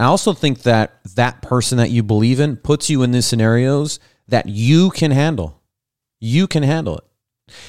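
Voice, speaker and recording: The speech comes at a moderate pace in an animated tone with lively intonation, recorded dry and close with no echo. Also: man, medium pitch for a man. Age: 30s. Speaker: podcast host. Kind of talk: casual chat. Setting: video call.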